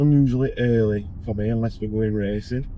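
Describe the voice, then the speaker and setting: A man is talking. He has a Yorkshire accent. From northern England, Barnsley, South Yorkshire. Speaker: car tuning workshop owner and vlogger. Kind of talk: casual vlog. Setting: in a car. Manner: casual, rambling.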